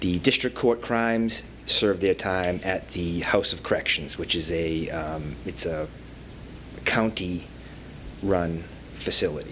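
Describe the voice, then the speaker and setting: Very deep and low, a man's voice moves at a very slow pace with lively intonation, in a Boston accent. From Boston area, Massachusetts. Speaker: probation officer. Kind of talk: panel talk. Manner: halting, many fillers.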